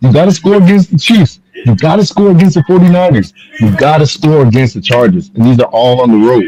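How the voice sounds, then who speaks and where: Speaking at a very fast pace, a man has a fairly high pitch and a dark, mellow, somewhat breathy tone. His very wide pitch swings come with very even loudness. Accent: American. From Bahamas. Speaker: podcast host. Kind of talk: heated debate.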